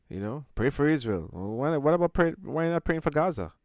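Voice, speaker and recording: A man with very wide pitch swings. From Jamaica. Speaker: spiritual teacher and show host. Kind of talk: live call-in discussion. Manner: halting, many fillers.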